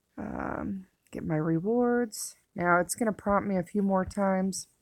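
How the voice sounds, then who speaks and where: A woman with an unremarkable speaking voice talks at a medium pitch and a fairly slow pace. Her pitch varies in an ordinary way. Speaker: gaming tutorial creator. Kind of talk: game tutorial. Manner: casual with fillers.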